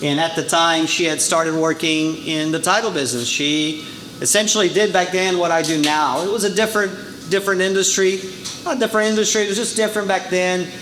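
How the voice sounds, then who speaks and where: Amid noticeable background noise and audible room echo, a man talks very fast at a high pitch, with ordinary pitch variation. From Brazil. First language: Portuguese. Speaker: title insurance sales rep. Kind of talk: business presentation. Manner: casual, many fillers.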